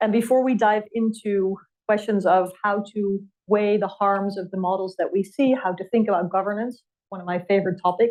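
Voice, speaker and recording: Speaking at a moderate pace, a woman with a European accent keeps her medium pitch in fairly even intonation. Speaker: policy fellow and moderator. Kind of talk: fireside chat interview.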